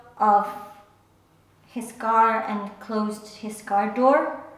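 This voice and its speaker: Audible room echo surrounds a woman talking at a very slow pace. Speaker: storyteller. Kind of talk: personal story monologue. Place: home room.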